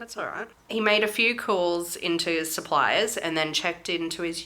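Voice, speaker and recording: A woman talks with a fairly low pitch and ordinary pitch variation. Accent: Australian. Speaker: true crime podcast host. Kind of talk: casual chat. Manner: animated.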